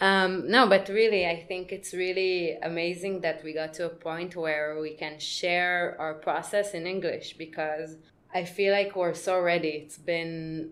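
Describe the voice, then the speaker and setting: Speaking with an Israeli accent, a woman has a fairly low pitch and fairly even intonation. Her loudness swings widely, and her pace is fairly slow. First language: Hebrew. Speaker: podcast co-host. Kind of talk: casual chat.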